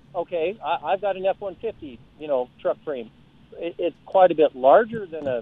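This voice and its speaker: Speaking at a moderate pace with an American accent, the man has a high pitch and lively intonation. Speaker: caller. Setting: phone call.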